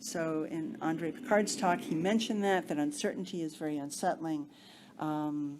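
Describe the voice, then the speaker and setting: The voice moves at a moderate pace with lively intonation. It is an unremarkable speaking voice. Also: woman, fairly low pitch for a woman. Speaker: researcher. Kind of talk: lecture.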